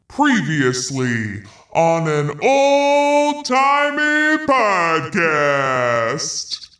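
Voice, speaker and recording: A man's put-on character voice, high-pitched and at a very slow pace. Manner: theatrical, enthusiastic, exaggerated.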